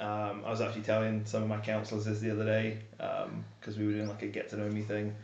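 A man speaks with an English accent at a fairly low pitch. Noticeable background noise and audible room echo fill the recording. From England. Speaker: camp staff, former naval reservist. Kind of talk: casual chat.

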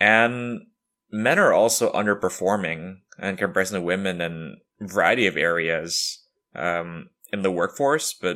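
A man with a very deep, low pitch and a bright, sharp tone, at a moderate pace with ordinary pitch variation, on a very clean recording with a silent background. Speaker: podcast host. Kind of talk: personal reflection monologue. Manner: many filler words.

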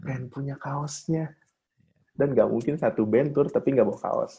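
This man speaks with a dark, mellow tone. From Bandung, Indonesia. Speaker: drummer and marketing manager. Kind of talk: casual chat.

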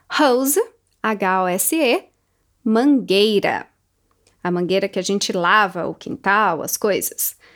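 A woman with an American accent speaks very slowly, leaving long, frequent pauses. Her medium-pitched voice has lively intonation. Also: very clean recording, silent background. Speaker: English teacher podcaster. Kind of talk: tutorial. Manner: slow, repeated word drills.

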